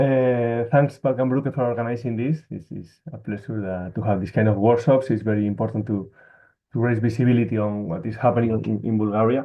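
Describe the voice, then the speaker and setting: Fairly quick and fairly even in intonation, a man speaks with a Spanish accent. His pitch sits in the middle range. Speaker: NGO worker. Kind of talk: webinar presentation.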